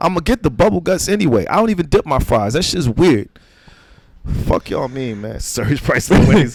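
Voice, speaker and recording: With an American accent, a man speaks fairly quickly in a fairly high pitch that swings very widely. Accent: New York accent, stronger when angry. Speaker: comedian. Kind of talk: casual chat. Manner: animated.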